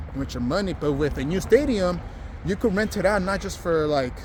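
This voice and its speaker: A man's fairly quick, lively speech with audible room echo and noticeable background noise. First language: Spanish. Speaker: vlogger. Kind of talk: casual vlog monologue. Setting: outdoors, walking. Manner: casual, many fillers and restarts.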